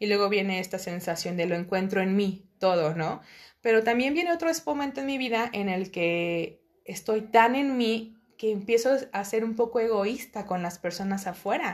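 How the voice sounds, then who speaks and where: It's a plain, everyday voice from a woman at medium pitch with lively intonation. She keeps a moderate pace over a quiet background. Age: 30s. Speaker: podcast guest, host's cousin. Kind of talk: casual interview chat.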